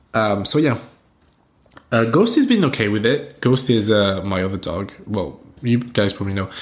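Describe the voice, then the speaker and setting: In a French accent, a man talks at a moderate pace and medium pitch with ordinary pitch variation. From France. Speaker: podcast host. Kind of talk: casual chat.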